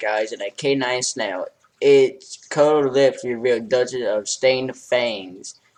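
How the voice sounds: Quiet surroundings behind a natural reading voice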